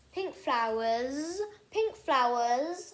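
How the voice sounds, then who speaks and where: A woman puts on a character voice pitched high. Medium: read story.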